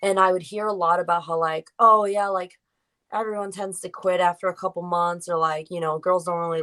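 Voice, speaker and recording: In an American accent, a woman speaks at medium pitch and a moderate pace, her tone bright and sharp and her intonation fairly even. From US Northeast, Rhode Island. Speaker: professional wrestler. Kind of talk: interview.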